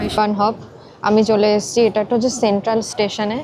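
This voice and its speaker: Noticeable background noise runs under the clip. A woman is speaking. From West Bengal, India (Purba Bardhaman, near Nabadwip). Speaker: vlogger. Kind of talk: vlog narration. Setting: outdoors and in shops, on bus and tram.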